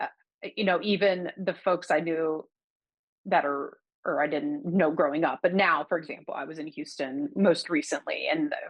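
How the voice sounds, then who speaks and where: A woman talks at a moderate pace in a fairly low pitch, her intonation lively. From US South, Baton Rouge, Louisiana. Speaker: poet. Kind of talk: interview. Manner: halting.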